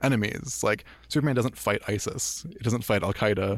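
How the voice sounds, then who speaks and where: This man has an unremarkable speaking voice, with ordinary pitch variation at a fairly quick pace. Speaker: podcast host. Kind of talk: casual chat. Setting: studio.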